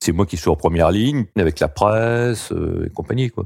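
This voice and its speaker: With lively intonation, a man talks at a moderate pace in a dark, mellow tone. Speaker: bank employee. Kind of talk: personal testimony.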